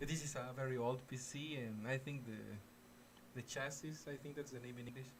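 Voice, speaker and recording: Speaking with a Mexican accent, a man uses a somewhat breathy voice at medium pitch, a fairly quick pace and monotone, flat intonation. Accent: Mexican Spanish accent on English. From Mexico. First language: Spanish. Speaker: gaming streamer. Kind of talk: live gaming stream chat. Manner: halting, frequent repetitions and fillers.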